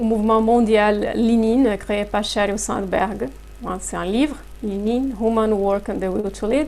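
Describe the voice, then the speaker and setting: A woman with a Portuguese accent and a fairly high pitch speaks very slowly with fairly even intonation. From Brazil. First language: Portuguese (speaking French). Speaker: human resources consultant. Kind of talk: interview. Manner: hesitant, many fillers.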